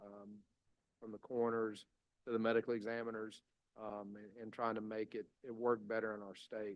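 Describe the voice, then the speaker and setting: A man with a Mississippi accent speaks at medium pitch in a monotone, flat intonation, with big swings in loudness. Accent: Mississippi Southern US. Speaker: state public safety commissioner. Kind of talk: legislative committee testimony. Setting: committee hearing room with microphone. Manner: fast; halting, many fillers.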